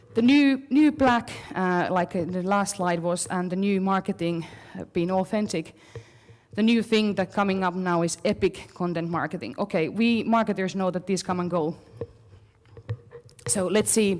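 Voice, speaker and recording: Using a plain, everyday voice, a woman speaks at medium pitch and a moderate pace with ordinary pitch variation. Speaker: marketing consultant. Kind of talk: conference talk.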